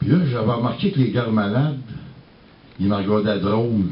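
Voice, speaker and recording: In a Quebec accent, the speech comes at a moderate pace with ordinary pitch variation. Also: man. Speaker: singer-songwriter. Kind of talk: storytelling.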